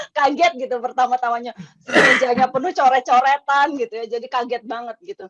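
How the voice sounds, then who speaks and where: Her high pitch comes through in a dry, close sound with no echo as a woman speaks at a moderate pace. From Indonesia, outside Java. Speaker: school alumna. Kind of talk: casual chat. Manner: hesitant, many fillers.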